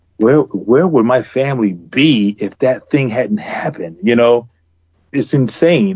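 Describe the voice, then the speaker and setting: A man with a plain, everyday voice and an American accent, speaking at a fairly slow pace with ordinary pitch variation. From US South. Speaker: comic book artist. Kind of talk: casual chat.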